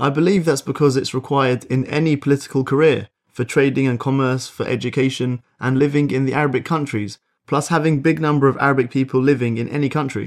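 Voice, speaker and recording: Against a quiet background, a man with an English accent talks at a very fast pace, his pitch fairly high and his intonation fairly even. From England. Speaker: podcast host. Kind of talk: language lesson. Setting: studio.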